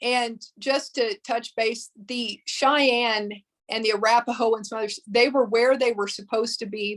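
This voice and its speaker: Speaking with a Texas accent, a woman talks at a fairly slow pace and fairly high pitch with fairly even intonation. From Texas Panhandle, Amarillo. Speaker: museum director and historian. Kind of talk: presentation. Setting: video call.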